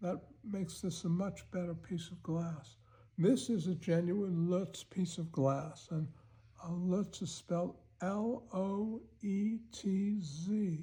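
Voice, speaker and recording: A man talks very slowly at a high pitch, in a dark, mellow tone with ordinary pitch variation. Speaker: art collector. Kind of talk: casual talk to camera. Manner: hesitant, halting.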